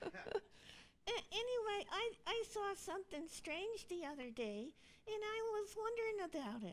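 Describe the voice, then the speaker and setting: A female-sounding voice uses a cartoonish character voice at an extremely high pitch. The pace is fairly slow. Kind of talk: church puppet skit dialogue.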